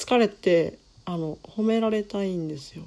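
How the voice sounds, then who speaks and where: A woman is speaking. Her tone is dark and mellow. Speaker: manga artist and solo podcaster. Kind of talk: unscripted solo monologue. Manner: natural unaffected voice, not put on.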